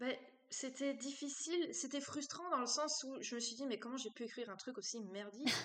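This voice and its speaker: High-pitched female speech with ordinary pitch variation, moving at a moderate pace. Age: 20s. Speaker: romance novelist. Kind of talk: interview. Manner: hesitant, many fillers.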